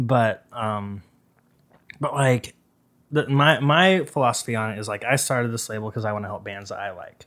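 With an American accent, a man speaks in a normal speaking voice at medium pitch and moderate pace, using ordinary pitch variation while his loudness swings widely. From Idaho, Boise. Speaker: record label owner and bassist. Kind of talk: casual chat. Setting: podcast interview.

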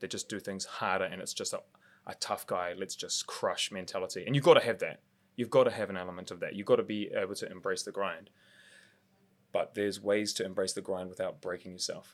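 A man with a New Zealand accent at a moderate pace, with long, frequent pauses. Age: 30s. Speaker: martial artist. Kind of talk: casual interview.

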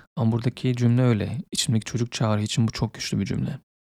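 Speaking at a fairly quick pace, a man uses a medium pitch, a dark, mellow tone, a calm tone and fairly even intonation, with a dry, close sound and no echo. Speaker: podcaster. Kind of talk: personal monologue.

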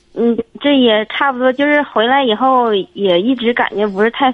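A woman's high voice, with ordinary variation in pitch, comes through noticeable background noise. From Jilin, northeast China. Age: 30s. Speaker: caller. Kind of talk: phone call-in. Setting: phone call. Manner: halting.

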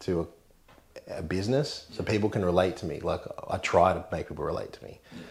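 This man speaks with an Australian accent. His pitch is very deep and low. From Mid North Coast, New South Wales, Australia. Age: 30s. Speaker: insurance broker and rally driver. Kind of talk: casual interview chat.

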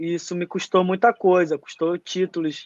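Recorded with a dry, close sound and no echo, a man speaks in a high pitch at a moderate pace with monotone, flat intonation. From Brazil, Manaus (Amazonas). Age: 20s. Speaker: jiu-jitsu athlete. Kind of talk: casual interview. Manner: halting, many repetitions and fillers.

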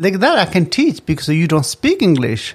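In a very clean recording with a silent background, the speaker talks with a Tibetan accent. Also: man. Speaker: restaurant owner. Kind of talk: casual chat.

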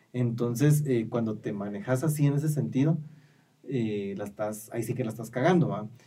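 A man with a dark, mellow tone and medium pitch talks at a moderate pace. Audible room echo surrounds his voice. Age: 20s. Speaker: podcast co-host. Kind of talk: casual chat.

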